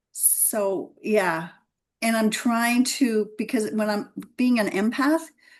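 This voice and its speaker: Against a quiet background, a woman with a somewhat breathy, fairly high voice speaks at a very slow pace with lively intonation. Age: 60s. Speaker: podcast guest. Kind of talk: casual interview conversation. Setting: she shed, video call.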